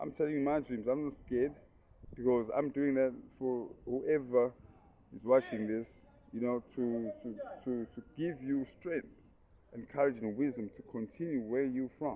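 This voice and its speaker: The speaker keeps a moderate pace and fairly even intonation, with big swings in loudness and long, frequent pauses. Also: man, medium pitch for a man. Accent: South African. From South Africa, Durban. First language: Zulu. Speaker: vlogger and aspiring politician. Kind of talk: casual motivational vlog monologue. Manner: halting, many repetitions and fillers.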